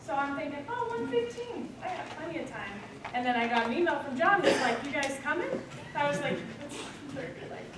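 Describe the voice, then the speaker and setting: A woman talks at a fairly quick pace and high pitch. Room echo is audible, and background noise is noticeable. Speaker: accountant presenting to students. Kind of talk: workshop presentation. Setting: lunch presentation to students. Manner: loud. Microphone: speaking without the microphone.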